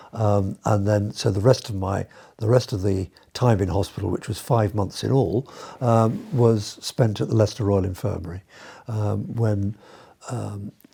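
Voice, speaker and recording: Somewhat breathy, a man speaks at a moderate pace and a fairly low pitch with ordinary pitch variation. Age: 70s. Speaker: retired doctor and amputee patient. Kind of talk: interview testimony. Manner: halting, many fillers.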